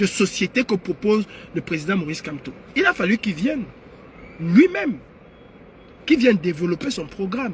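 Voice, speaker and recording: Loud and animated, a man with a high voice and lively intonation speaks at a moderate pace with long, frequent pauses. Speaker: political activist livestreamer. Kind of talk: live stream monologue. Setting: online live stream. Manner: animated, raises voice.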